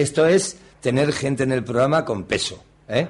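Pitched fairly high, a man's voice moves at a fairly slow pace. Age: 50s. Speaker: radio host. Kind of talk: casual radio interview. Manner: halting.

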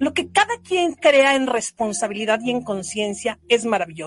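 In a high-pitched voice, a woman speaks with very wide pitch swings. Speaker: podcast host, wellbeing coach. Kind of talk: motivational monologue. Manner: warm, gentle and unhurried; sometimes speeds up.

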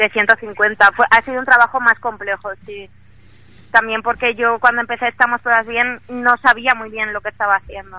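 A woman talks at a moderate pace in a fairly high pitch with a bright, sharp tone and monotone, flat intonation. Her loudness swings widely, and the sound is dry and close with no echo. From Spain, Valencia. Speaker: illustrator. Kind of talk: radio interview. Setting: phone call from the street. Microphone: phone line.

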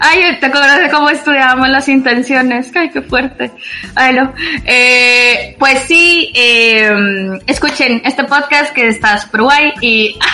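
A woman speaks in a raised, projected voice at a high pitch and a very slow pace. Her loudness stays very even over noticeable background noise. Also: ordinary pitch variation. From Guatemala. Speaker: guest living abroad. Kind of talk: casual chat.

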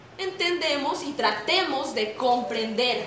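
There is audible room echo and noticeable background noise as a woman speaks at a high pitch. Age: 20s. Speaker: jazz singer and motivational speaker. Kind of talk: motivational talk. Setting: stage with audience. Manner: animated.

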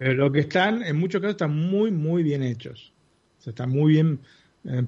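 Ordinary pitch variation runs through this somewhat breathy voice. The speaker talks in a Rioplatense accent. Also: man. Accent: Argentine Spanish (rioplatense). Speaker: tech podcast panelist. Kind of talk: casual chat.

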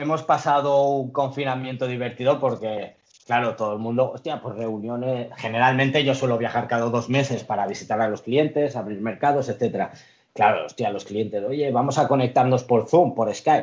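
Speaking with a normal speaking voice, a man talks at a moderate pace in a medium pitch with fairly even intonation. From Spain, Catalonia (Lloret de Mar). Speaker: international trade professional. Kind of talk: interview.

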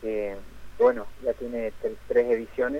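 A man's medium-pitched voice stays monotone and flat at a moderate pace. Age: 40s. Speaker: musician. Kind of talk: radio phone interview. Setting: phone call.

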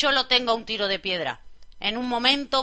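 At a fairly quick pace, a woman talks in a high-pitched voice. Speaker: radio host. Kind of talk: radio music show presenting. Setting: studio.

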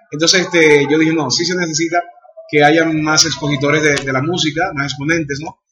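Fairly high in pitch, a man talks at a fairly quick pace in a monotone, flat intonation. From Dominican Republic. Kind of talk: interview. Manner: halting, frequent fillers.

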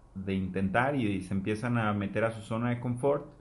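There is audible room echo as a man talks at a fairly quick pace. His pitch is fairly low and his intonation fairly even. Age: 20s. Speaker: podcast co-host. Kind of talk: casual chat.

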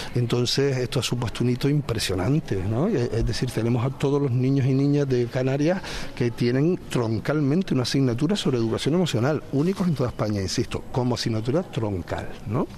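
Noticeable background noise sits behind a man speaking at a fairly quick pace. His loudness stays very even, and his pitch varies in an ordinary way. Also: medium pitch for a man. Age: 40s. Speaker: conflict resolution institute director. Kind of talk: interview. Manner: halting.

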